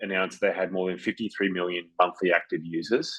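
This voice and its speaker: With a slight Australian accent, a man speaks at a fairly quick pace with a very deep, low pitch. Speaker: business consultant and webinar co-host. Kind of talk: webinar presentation. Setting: virtual online webinar.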